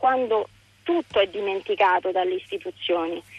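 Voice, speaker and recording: A woman's voice with very wide pitch swings. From Rome, Centocelle. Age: 30s. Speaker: radio caller. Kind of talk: call-in conversation. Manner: halting.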